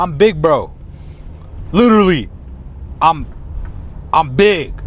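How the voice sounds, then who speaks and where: A man speaks at a high pitch with lively intonation. His pace is very slow. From US, Mexican-American family. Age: 20s. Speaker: vlogger. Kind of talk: casual vlog. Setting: in a car.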